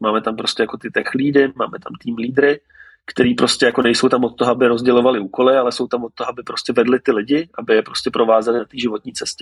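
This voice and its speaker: Keeping a fairly even intonation, a man talks fairly quickly at a medium pitch. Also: dry, close sound with no echo. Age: 30s. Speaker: tech company co-founder. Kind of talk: interview. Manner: halting, many fillers.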